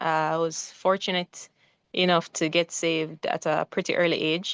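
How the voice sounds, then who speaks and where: In a dry, close sound with no echo and a quiet background, a woman speaks at a moderate pace in a fairly low, monotone, flat voice. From Jamaica. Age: 30s. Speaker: missionary and physical therapist. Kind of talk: interview.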